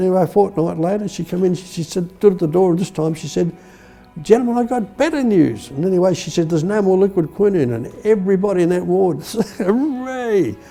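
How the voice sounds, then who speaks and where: A man with an Australian accent speaks at a fairly quick pace, his high pitch and intonation lively. Music plays in the background. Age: 80s+. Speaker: war veteran. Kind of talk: interview answer.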